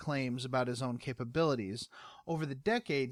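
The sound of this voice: An unforced reading voice is what comes through.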